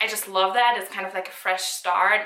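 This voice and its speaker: A woman with a German accent talks at a fairly quick pace, with audible room echo. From Germany. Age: 20s. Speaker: YouTuber, university student. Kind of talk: casual vlog Q&A. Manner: casual, lots of fillers.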